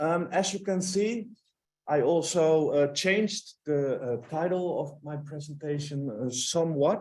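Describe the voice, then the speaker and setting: In a room with audible echo, a man with a Dutch accent speaks at a fairly slow pace and fairly high pitch, with ordinary pitch variation. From Netherlands. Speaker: philosopher, guest speaker. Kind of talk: lecture. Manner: hesitant with many fillers.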